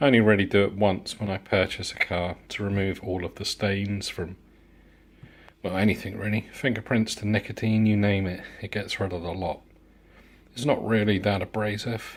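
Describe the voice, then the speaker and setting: The speaker has a British accent and a moderate pace. The intonation is fairly even. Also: man. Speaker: car enthusiast. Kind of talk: casual talk to camera. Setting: outdoors.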